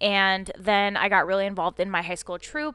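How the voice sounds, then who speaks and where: Her pitch is medium and her intonation fairly even as the woman talks in a normal speaking voice. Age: 20s. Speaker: acting coach. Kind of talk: casual chat.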